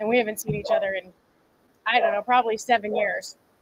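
A woman at a very fast pace with ordinary pitch variation, dry with no echo, amid loud background noise. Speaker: fitness coach. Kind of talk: casual livestream chat. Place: garden. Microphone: phone near.

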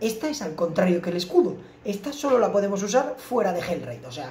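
A man speaks with audible room echo. Light background noise can be heard too. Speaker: gamer streamer. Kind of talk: gameplay commentary. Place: home room.

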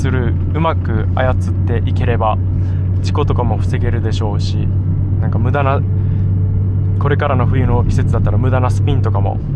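A man talks at a moderate pace. There is loud background noise, and the sound is dry with no echo. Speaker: driver vlogger. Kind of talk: casual driving commentary. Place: car. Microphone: phone near.

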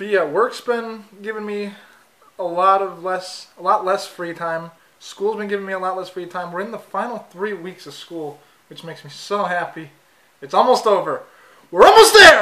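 A man's raised, projected voice at a moderate pace, with fairly even intonation. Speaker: student vlogger. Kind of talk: casual vlog chat. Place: kitchen.

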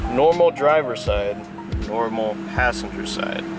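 The recording sounds dry with no echo, yet loud background noise fills it. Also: man. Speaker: car enthusiast vlogger. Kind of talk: casual vlog talk to camera. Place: car. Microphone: phone near.

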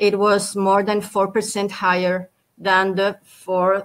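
A woman talks with a Spanish accent. Her pace is very slow. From Spain. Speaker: national tourist board official; panelist. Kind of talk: panel debate; interview answer. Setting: video call. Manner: hesitant, many fillers. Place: home room.

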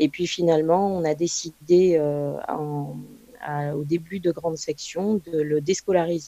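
At a very slow pace, a woman with a fairly low pitch and fairly even intonation speaks over noticeable background noise. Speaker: parent speaking on home and alternative schooling. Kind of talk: online talk presentation. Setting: video call. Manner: halting, many fillers.

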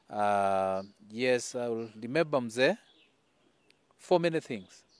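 Delivered at a fairly slow pace, the voice sounds dry with no echo against a quiet background. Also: man. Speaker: politician giving tribute. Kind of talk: condolence statement. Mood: somber, mourning. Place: garden.

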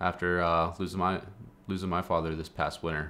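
The man's speech comes at a moderate speed. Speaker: video creator. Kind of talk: casual vlog chat. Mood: warm, slightly emotional. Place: home room.

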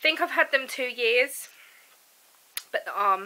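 A woman speaks fairly slowly in a high voice that swings very widely in pitch. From UK. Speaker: vlogger. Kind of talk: casual vlog. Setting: at home. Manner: casual, hesitant with fillers. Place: home room. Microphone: phone near.

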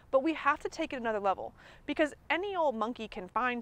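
In a dry sound with no echo, a woman talks at a moderate pace with a high pitch and lively intonation. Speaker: nutrition coach. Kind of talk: coaching conversation. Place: garden. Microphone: lapel.

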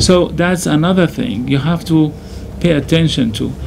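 Against noticeable background noise, a man with a Syrian accent talks at a moderate pace, fairly high in pitch with ordinary pitch variation. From Syria, Damascus. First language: Arabic. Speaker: imam. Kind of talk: interview. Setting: studio. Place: studio.

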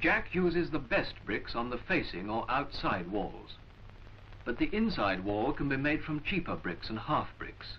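A man's medium-pitched voice with very wide swings in pitch, a fairly slow pace and noticeable background noise. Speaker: film narrator. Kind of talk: 1940s vintage educational film narration, scripted voiceover. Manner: formal, measured, clipped and authoritative; slow, deliberate, instructional.

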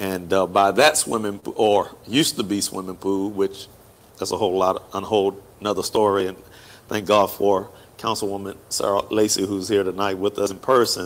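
A man's ordinary speaking voice with an American accent, fairly low in pitch, with fairly even intonation at a moderate pace. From Hampton, Virginia; Virginia. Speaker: pastor and talk show host; pastor, talk show host. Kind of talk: casual chat. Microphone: lapel.

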